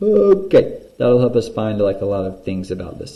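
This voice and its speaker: A man speaks at a moderate pace in a dark, mellow tone that is somewhat breathy. The room echo is audible. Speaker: math teacher. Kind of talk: tutorial. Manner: casual.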